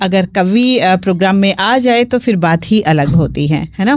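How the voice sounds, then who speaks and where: A woman's normal speaking voice at medium pitch, with ordinary pitch variation. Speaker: radio host. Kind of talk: live FM radio show hosting.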